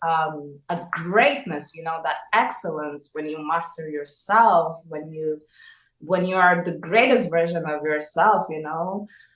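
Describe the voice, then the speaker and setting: Very slowly, a woman speaks at a fairly low pitch. Her loudness swings widely. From Russia then Angola. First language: Russian. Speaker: singer. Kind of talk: interview. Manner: halting.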